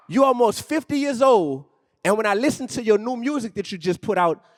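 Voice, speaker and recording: In a New Orleans accent, a man speaks at an extremely high pitch with an animated tone and lively intonation. The sound is dry and close, with no echo. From New Orleans, Louisiana, US South. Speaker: rapper and educator. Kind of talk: on-stage interview. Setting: stage with audience.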